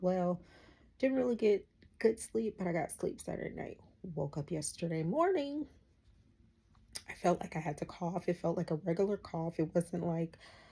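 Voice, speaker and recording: The voice has a dark, mellow tone and sounds somewhat breathy. Its intonation is lively, broken by long, frequent pauses. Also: woman, fairly low pitch for a woman, moderate pace. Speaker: vlogger. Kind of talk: casual vlog monologue.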